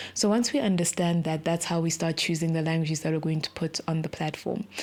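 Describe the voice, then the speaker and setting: Over noticeable background noise, a woman talks very fast at a fairly low pitch. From South Africa (born in Zimbabwe). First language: Shona. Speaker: tech startup co-founder. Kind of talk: podcast interview.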